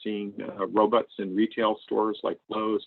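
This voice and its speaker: A man with an American accent, an unremarkable speaking voice, fairly low pitch and a moderate pace. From US Northeast (Maine). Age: 60s. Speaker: AI researcher and tech executive. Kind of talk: lecture. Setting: video call.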